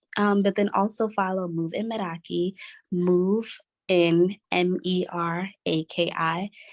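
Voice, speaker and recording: A soft-spoken woman with an American accent, very slow pace, medium pitch, fairly even intonation, and a dry, close sound with no echo. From Brooklyn, New York. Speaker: PR and communications expert. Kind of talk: interview. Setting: office.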